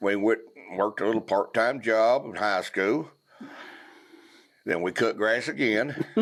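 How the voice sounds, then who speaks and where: With a Southern US accent, a man speaks at a very slow pace in a medium pitch, leaving long, frequent pauses. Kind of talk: podcast conversation.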